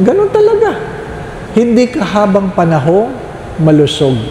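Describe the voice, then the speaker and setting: A man talks at a fairly slow pace, with noticeable background noise and audible room echo around him. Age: 60s. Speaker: priest. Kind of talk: sermon. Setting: church. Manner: animated.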